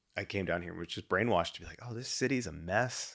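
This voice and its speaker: With an American accent, a man speaks in a plain, everyday voice at a medium pitch, using lively intonation and a fairly quick pace. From Texas (Dallas-Fort Worth). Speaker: podcast host, entrepreneur. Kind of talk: show announcements to listeners; casual interview chat. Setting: home music studio.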